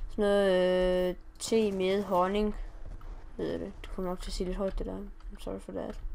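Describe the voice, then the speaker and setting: The speech moves at a fairly slow pace in a monotone, flat intonation, with audible room echo. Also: woman. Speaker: gaming youtuber. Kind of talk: gameplay commentary.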